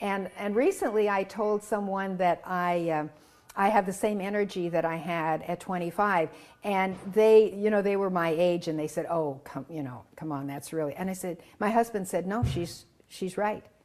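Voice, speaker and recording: A woman with a medium pitch uses ordinary pitch variation and speaks at a moderate pace. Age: 60s. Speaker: orthopedic surgeon telling her cancer recovery story. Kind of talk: interview. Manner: halting.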